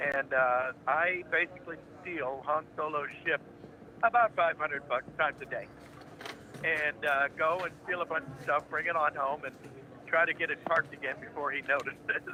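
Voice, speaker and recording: Over noticeable background noise, a man with an American accent speaks at a fairly high pitch. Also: fairly even intonation, moderate pace. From United States. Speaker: voice actor. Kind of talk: interview answer. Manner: laid-back, friendly, jovial.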